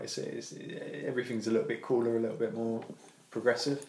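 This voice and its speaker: This is a man with a medium-pitched voice. He speaks with a British accent. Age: 30s. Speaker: podcast host. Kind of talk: casual chat. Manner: animated, jokey.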